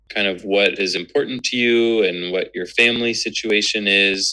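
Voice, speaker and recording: Speaking with an American accent, a man uses a bright, sharp tone at a fairly slow pace. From Northern California, US. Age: 20s. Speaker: medical student. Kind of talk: interview. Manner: hesitant, many filler words.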